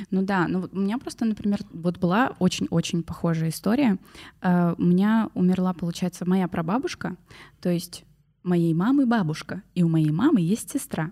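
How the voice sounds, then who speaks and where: Ordinary pitch variation in a woman's dark, mellow voice. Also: medium pitch for a woman, moderate pace. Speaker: podcast host. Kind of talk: casual chat.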